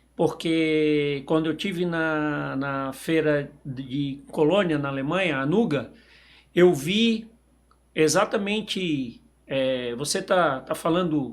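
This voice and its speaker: A man speaks at a very slow pace in a fairly high pitch. His pitch varies in an ordinary way. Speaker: podcast host and sales representative. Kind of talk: interview podcast. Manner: halting.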